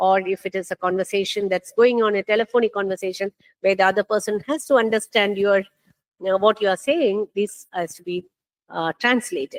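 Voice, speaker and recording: In a Keralan accent, a woman of medium pitch speaks at a fairly quick pace with ordinary pitch variation and big swings in loudness, in a dry, close sound with no echo. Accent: Indian English, Malayali. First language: Malayalam. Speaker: NLP researcher, conference speaker. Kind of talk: conference talk. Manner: hesitant, many fillers.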